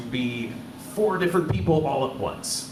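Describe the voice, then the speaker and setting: A man with an American accent speaks with lively intonation. The recording has audible room echo and noticeable background noise. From Ohio, near Dayton. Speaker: actor and performer giving a talk. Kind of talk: live talk to an audience. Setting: stage with audience. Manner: casual, with many filler words.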